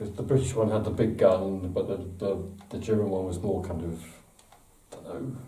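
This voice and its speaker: Against noticeable background noise and audible room echo, a man with an English accent speaks at a fairly quick pace with fairly low pitch and ordinary pitch variation, leaving long, frequent pauses. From England. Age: 60s. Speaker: model maker and book author. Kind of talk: interview. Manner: hesitant, with repetitions and fillers.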